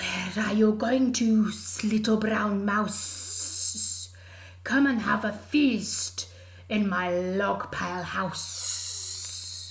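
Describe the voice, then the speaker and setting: Someone uses a put-on character voice at a very slow pace, with light background noise. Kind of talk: children's story character voices. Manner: curious, then alarmed.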